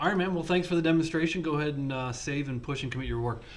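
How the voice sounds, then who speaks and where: Ordinary pitch variation in a man's speech, with audible room echo. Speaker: programming instructor. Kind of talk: lecture. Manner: halting.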